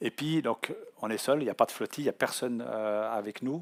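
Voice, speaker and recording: A man speaks at a medium pitch and a moderate pace with fairly even intonation, recorded very cleanly against a silent background with a dry, close sound and no echo. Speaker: offshore sailor giving a talk. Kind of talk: public talk. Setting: conference hall with audience. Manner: halting, many hesitations.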